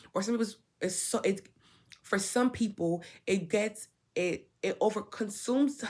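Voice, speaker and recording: Putting on a character voice, a woman speaks raspily at a fairly high pitch and a moderate pace, leaving long, frequent pauses. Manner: stuttering, hesitant.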